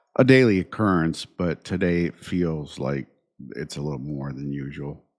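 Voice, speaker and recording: A man speaks with a very deep, low pitch. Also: very clean recording, silent background. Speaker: podcast host. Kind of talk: casual monologue. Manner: halting, many fillers.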